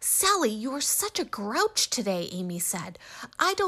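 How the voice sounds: This is a natural reading voice. The words are read in a natural reading voice.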